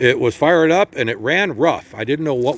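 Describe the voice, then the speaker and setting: This man has a plain, everyday voice. He talks at a fairly quick pace with lively intonation. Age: 60s. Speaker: motorcycle seller. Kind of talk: casual walk-around sales video. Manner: casual, with many fillers.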